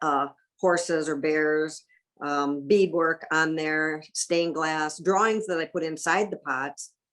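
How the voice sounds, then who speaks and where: A woman with an American accent talks at a fairly slow pace in an unremarkable speaking voice, pitched fairly low. Her intonation stays fairly even against a quiet background. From US Midwest, Michigan and northern Indiana. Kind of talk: interview.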